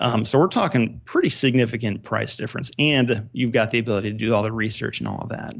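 A man speaks at a very fast pace with hardly any pauses. Vocal fry runs through his voice. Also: medium pitch for a man, fairly even intonation. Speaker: real estate investor.

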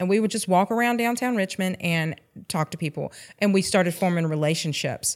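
On a very clean recording with a silent background, a woman with a Georgia accent talks very fast at a medium pitch with lively intonation. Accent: US Southern (Georgia). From rural Georgia (Sandersville). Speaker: former alcoholic, ministry co-leader. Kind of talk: testimony.

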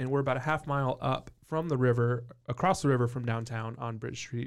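In a very clean recording with a silent background, a man with an ordinary speaking voice at medium pitch talks at a moderate pace with fairly even intonation. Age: 30s. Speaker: brewery co-owner. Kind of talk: casual chat.

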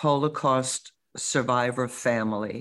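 A woman with an American accent, very deep and low in pitch, at a very slow pace, in a very clean recording with a silent background. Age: 60s. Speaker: grandmother and social media influencer. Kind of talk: interview.

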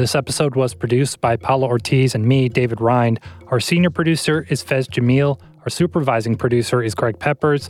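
A man with an ordinary speaking voice, medium pitch and ordinary pitch variation, at a fairly quick pace with very even loudness. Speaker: podcast host. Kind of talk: news interview.

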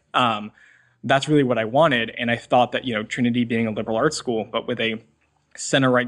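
Medium in pitch, a man's voice moves at a very fast pace. His intonation is fairly even. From US Northeast, Massachusetts North Shore near Boston. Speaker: college student. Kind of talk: interview.

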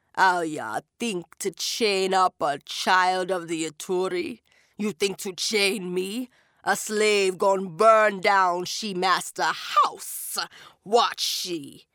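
A woman's guttural, put-on character voice at medium pitch and a very slow pace. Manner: menacing, defiant.

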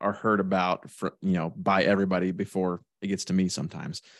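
This man has a fairly low pitch and speaks with a Midwestern American accent. The sound is dry and close with no echo, over a quiet background. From central Illinois. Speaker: independent insurance agent. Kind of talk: casual interview.

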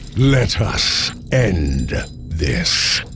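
Over clear background noise, a man performs a put-on character voice pitched very deep and low. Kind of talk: formal villain speech. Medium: audio drama. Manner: imperious, menacing, contemptuous.

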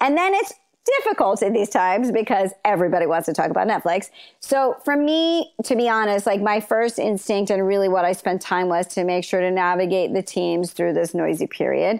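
A woman's unremarkable speaking voice at medium pitch, fairly quick in pace, with lively intonation and very even loudness. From Los Angeles, raised from age nine; early years London and Zambia. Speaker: TV executive. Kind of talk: interview.

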